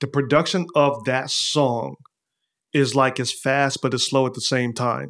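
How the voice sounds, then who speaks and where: Fairly slow and with fairly even intonation, a man with an American accent has an unremarkable speaking voice at medium pitch. The recording is very clean, with a silent background. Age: 40s. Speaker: artist and magazine founder. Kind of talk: casual interview.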